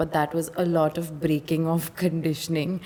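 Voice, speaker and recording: With noticeable noise behind her, a woman speaks in a flat monotone at a fairly low pitch and a moderate pace. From India, Pune. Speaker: model. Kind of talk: casual chat.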